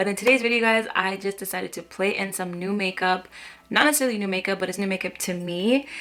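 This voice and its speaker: Quiet yet bright and sharp, a woman's medium-pitched voice races along at a very fast pace. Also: ordinary pitch variation. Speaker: beauty vlogger. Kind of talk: makeup tutorial. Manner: casual, chatty.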